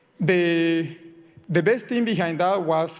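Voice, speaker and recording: Against a quiet background, a man with a Spanish accent talks at a fairly high pitch. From Colombia. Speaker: software engineer. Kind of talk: personal talk to audience. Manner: halting, many repetitions.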